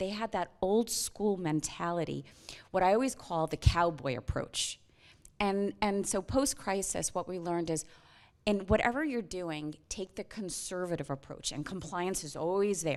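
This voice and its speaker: Speaking with an American accent and an unremarkable speaking voice, a woman of medium pitch and ordinary pitch variation comes through on a very clean recording with a silent background. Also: moderate pace. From US, New York. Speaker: finance executive and whistle-blower. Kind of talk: panel interview. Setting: conference stage with audience.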